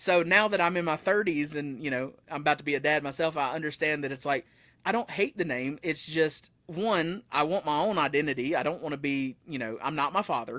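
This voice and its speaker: Fairly quick and fairly high-pitched, a man with an Appalachian accent speaks in a bright, sharp tone with ordinary pitch variation in a very clean recording with a silent background. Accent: Southern US (Appalachian). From US South, Blue Ridge Mountains. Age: 30s. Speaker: musician. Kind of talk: casual chat. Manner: fast.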